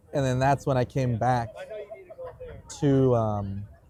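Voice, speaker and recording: Noticeable background noise sits behind a man whose intonation is fairly even. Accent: American. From San Diego, California. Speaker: Air Force veteran. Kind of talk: casual chat. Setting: outdoors in a park. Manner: casual, filler-heavy.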